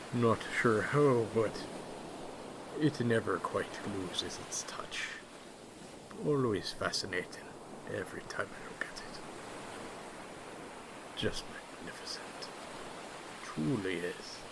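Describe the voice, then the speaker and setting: A man's whispering, put-on character voice, fairly slow with long, frequent pauses, under loud background noise. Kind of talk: ASMR roleplay.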